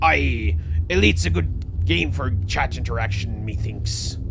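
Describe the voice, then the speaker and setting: Over loud background noise, a man uses a put-on character voice that is gravelly and very deep, at a moderate pace. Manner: swaggering.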